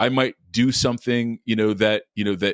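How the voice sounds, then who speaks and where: Recorded very cleanly with a silent background and a dry, close sound with no echo, a man talks at a moderate pace with a medium pitch and fairly even intonation. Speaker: podcast guest, recovering alcoholic father. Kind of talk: interview testimony. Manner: halting, many repeated fillers.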